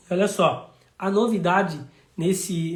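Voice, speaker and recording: This man's pitch is high. It varies in an ordinary way. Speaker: city councillor. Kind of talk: live stream talk.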